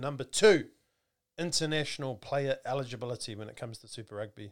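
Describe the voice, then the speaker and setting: A man with a New Zealand accent talks at a very fast pace with lively intonation and big swings in loudness, in a very clean recording with a silent background. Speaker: rugby podcast host. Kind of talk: casual chat. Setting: studio.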